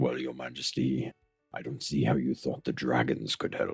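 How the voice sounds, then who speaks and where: A man puts on a character voice pitched very deep and low. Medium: audio drama. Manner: measured, dignified, gently wise.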